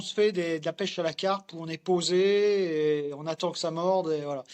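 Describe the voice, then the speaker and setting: Fairly slow male speech, pitched fairly high. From France, Morvan (Burgundy). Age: 40s. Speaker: fly fisherman. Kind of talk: casual interview. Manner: hesitant, many fillers.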